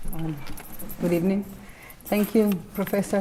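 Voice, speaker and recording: At a moderate pace, a woman talks in a Mexican accent. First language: Spanish. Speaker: investigative journalist. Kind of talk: prepared speech; lecture. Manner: halting.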